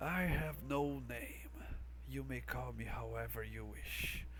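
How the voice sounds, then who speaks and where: A man performs a put-on character voice at a fairly slow pace. Background noise is clearly audible. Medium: actual play. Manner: quiet, bargaining.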